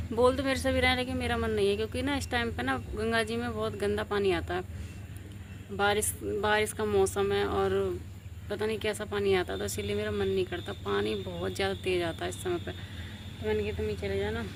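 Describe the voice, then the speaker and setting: Over audible room echo, a woman speaks at a moderate pace in a very deep, low voice. Her delivery is somewhat breathy, with fairly even intonation. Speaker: vlogger. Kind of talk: casual vlog chat. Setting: outdoors on rooftop. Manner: soft-spoken.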